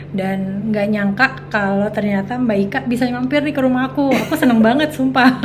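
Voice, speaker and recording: With hardly any pauses, a woman talks fairly quickly in a fairly high pitch with very wide pitch swings, over noticeable background noise and audible room echo. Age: 40s. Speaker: make-up artist and entrepreneur. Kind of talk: casual interview chat. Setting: at her home. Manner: hesitant with many fillers.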